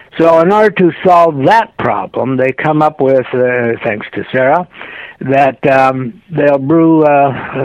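Against noticeable background noise, a man talks fairly slowly at a medium pitch with ordinary pitch variation. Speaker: author. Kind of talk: interview. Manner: halting, many fillers.

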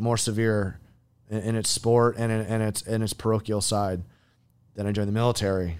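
With an American accent and a plain, everyday voice, a man speaks at a fairly quick pace in a fairly low pitch on a very clean recording with a silent background. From US Midwest (Iowa). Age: 40s. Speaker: military veteran and trainer. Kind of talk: casual interview. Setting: studio.

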